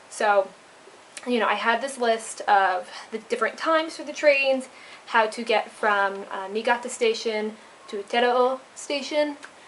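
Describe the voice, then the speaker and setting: Against noticeable background noise, a woman speaks at a fairly slow pace with a fairly high pitch. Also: ordinary pitch variation. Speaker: vlogger, intern abroad. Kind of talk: casual vlog storytelling. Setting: indoors at a share house at night.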